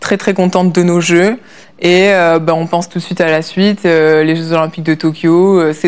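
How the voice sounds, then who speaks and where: Flat, monotone intonation from a woman with a fairly low voice, delivered at a moderate pace. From France. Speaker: olympic rower. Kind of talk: interview. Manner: hesitant, many fillers.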